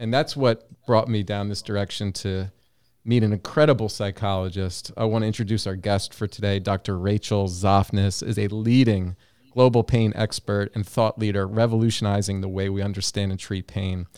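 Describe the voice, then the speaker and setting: A man with an American accent and an ordinary speaking voice, fairly low in pitch, fairly even in intonation, at a moderate pace, in a dry, close sound with no echo on a very clean recording with a silent background. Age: 40s. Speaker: clinical psychologist, podcast host. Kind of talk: interview.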